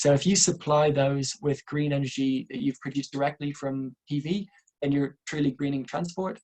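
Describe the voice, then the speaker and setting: A man's fairly high, somewhat breathy voice with an Irish accent and fairly even intonation. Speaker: renewable energy engineer, webinar presenter. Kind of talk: webinar presentation. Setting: online webinar. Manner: fast.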